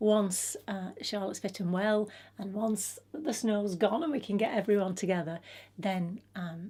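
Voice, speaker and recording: In an English accent, a woman speaks with a dark, mellow tone, some breathiness and ordinary pitch variation, on a very clean recording with a silent background. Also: medium pitch for a woman, fairly slow pace. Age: 60s. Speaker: lifestyle vlogger. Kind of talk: casual vlog talk. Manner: hesitant, many fillers.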